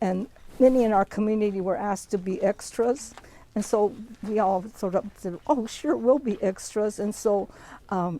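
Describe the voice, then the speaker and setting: Her dark, mellow tone comes with an American accent. The woman's pitch varies in an ordinary way. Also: medium pitch for a woman, moderate pace. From US Pacific Northwest, Bainbridge Island, Washington. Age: 80s+. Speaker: Japanese American internment survivor. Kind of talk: oral history talk. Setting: outdoors at a memorial site. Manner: conversational, some hesitations.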